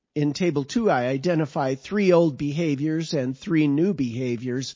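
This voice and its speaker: Lively intonation in an ordinary speaking voice, delivered at a moderate pace. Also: man. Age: 60s. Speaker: author reading own paper. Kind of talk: reading aloud.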